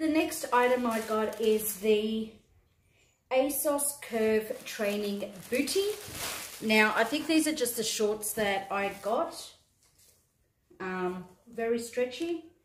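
A woman with an Australian accent speaks at a very slow pace and a fairly high pitch, with long, frequent pauses, audible room echo and light background noise. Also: ordinary pitch variation. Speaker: YouTuber, fashion try-on haul creator. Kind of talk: casual try-on haul video. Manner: animated. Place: home room. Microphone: phone near.

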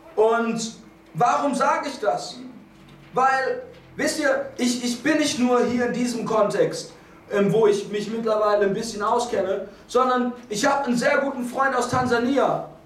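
With audible room echo, a man talks at a fairly slow pace in an extremely high pitch. His tone is animated, with ordinary pitch variation. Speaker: preacher. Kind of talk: sermon. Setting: church. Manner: animated, fervent preaching; restless, moves around while speaking. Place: church.

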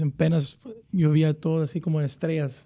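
In a dark, mellow tone, the man speaks at a fairly quick pace over a quiet background. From Dallas, Texas; Texas. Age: 30s. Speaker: professional soccer player; guest. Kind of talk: casual chat. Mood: relaxed, reminiscing. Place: studio. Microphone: studio mic.

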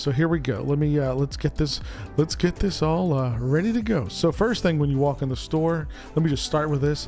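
Over faint background music, a man talks at a moderate pace with ordinary pitch variation, the sound dry with no echo. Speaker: merchandise vlogger. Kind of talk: casual vlog chat. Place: home room. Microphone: studio mic.

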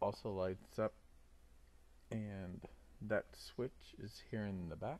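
At a very slow pace, a man mumbles. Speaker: scale model builder. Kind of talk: casual talk to camera. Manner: mumbling. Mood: calm, content. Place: workshop. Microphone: phone near.

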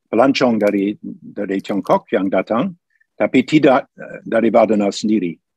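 With an English accent, a man speaks at a moderate pace in a fairly low voice. The sound is dry with no echo, and the background is quiet. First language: English (speaking Indonesian). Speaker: history professor. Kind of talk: online lecture with Q&A. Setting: video call webinar. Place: home room. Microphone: video call.

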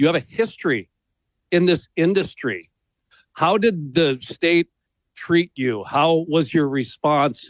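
A man speaks at a very slow pace with long, frequent pauses, his fairly high voice showing ordinary pitch variation and very even loudness against a quiet background, the sound dry with no echo. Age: 40s. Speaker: radio co-host. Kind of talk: casual chat. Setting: studio. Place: studio.

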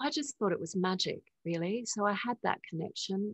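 A woman with an Australian accent, against a quiet background, in a dry sound with no echo. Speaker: spiritual teacher and author; spiritual teacher. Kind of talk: interview. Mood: calm, reflective, gentle. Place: home room. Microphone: video call.

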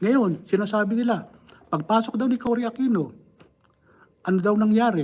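A man talks at a moderate pace in an animated tone, his pitch varying in an ordinary way. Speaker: political commentator. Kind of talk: political commentary livestream. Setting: live stream. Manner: animated, rhetorical.

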